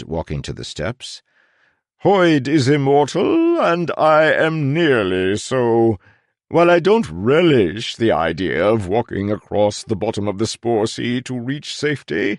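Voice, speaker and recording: A man puts on a character voice at a medium pitch with very wide pitch swings. He speaks at a fairly slow pace over a quiet background. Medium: read story. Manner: courteous, unctuous, repeats words.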